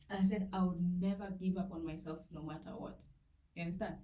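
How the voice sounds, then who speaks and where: Dark and mellow in tone, a woman's somewhat breathy, medium-pitched voice is heard with audible room echo. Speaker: vlogger. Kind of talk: personal testimony. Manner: soft-spoken; halting.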